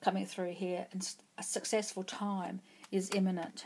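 The speaker is a woman. She talks at a fairly slow pace. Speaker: tarot reader. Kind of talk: pick-a-card tarot reading. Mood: calm, encouraging. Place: home room.

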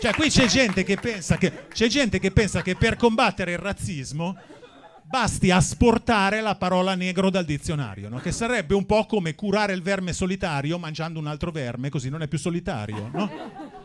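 A man talks at a moderate pace with a high pitch and lively intonation. Light noise can be heard in the background. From Milan, northern Italy. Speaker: stand-up comedian. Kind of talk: stand-up. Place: stage. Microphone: handheld.

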